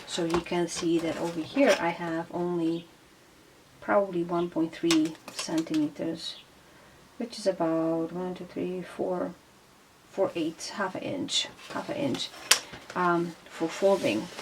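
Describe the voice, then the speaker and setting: Over noticeable background noise, a woman with a non-native accent speaks very slowly in a fairly low voice, lively in intonation, with long, frequent pauses. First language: not English. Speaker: craft tutorial host. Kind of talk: tutorial. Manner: halting, many fillers.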